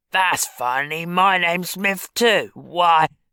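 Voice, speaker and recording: A put-on character voice at a middle pitch moves at a fairly slow pace in a very clean recording with a silent background. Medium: read story. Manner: coarse, familiar, calls others dearie.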